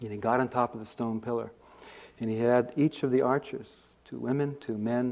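Simply a natural reading voice

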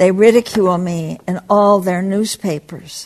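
With a quiet background, a woman speaks in a monotone, flat intonation. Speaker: Buddhist teacher and activist. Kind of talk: retreat talk; poetry reading aloud. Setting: meditation center with live audience. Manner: slow, halting, reflective; intense, somber, dramatic.

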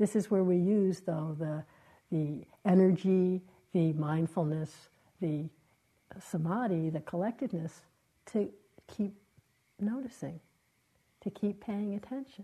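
A woman with a dark, mellow, somewhat breathy tone speaks at a fairly slow pace and medium pitch, with ordinary pitch variation and long, frequent pauses. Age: 70s. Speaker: meditation teacher. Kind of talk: dharma talk. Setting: meditation retreat with audience.

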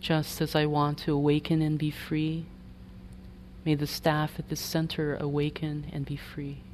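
In a calm, gentle tone, a woman speaks at a fairly slow pace with a very deep, low pitch and monotone, flat intonation. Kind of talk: guided meditation. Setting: meditation retreat hall. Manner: slow, soft-spoken, calm and gentle with long pauses between phrases.

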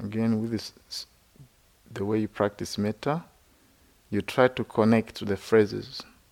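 A man speaking at a fairly slow pace with fairly even intonation and long, frequent pauses, in a dry, close sound with no echo. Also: fairly low pitch for a man. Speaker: Buddhist monk and meditation teacher. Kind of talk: guided meditation with teaching talk. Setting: retreat center. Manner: slow, calm, gentle, with long pauses between phrases; soft-spoken, soothing, instructional.

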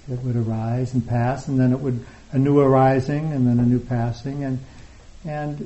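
A man speaks at a moderate pace and medium pitch. His voice is somewhat breathy, with ordinary pitch variation. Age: 60s. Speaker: meditation teacher. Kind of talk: dharma talk. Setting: retreat hall with live audience.

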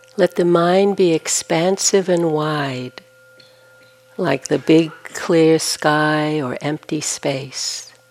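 A woman's very deep, low voice at a very slow pace, fairly even in intonation, over noticeable background noise. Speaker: meditation teacher. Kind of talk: guided meditation. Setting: meditation hall retreat with audience. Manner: slow, calm, soothing, with long pauses; soft-spoken, gentle.

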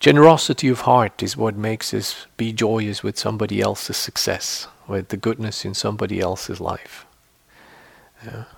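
With vocal fry and ordinary pitch variation, a man speaks at a fairly low pitch. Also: moderate pace. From Switzerland. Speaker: meditation teacher. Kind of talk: dharma talk to retreat audience; guided meditation, calm instructions with long silent pauses. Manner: conversational and earnest, with frequent fillers and restarts.

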